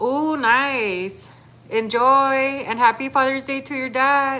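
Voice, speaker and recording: In an American accent, the speaker uses a raised, projected voice at a very slow pace. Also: woman, high pitch for a woman, ordinary pitch variation. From Texas. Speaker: livestreamer. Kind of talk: casual livestream chat.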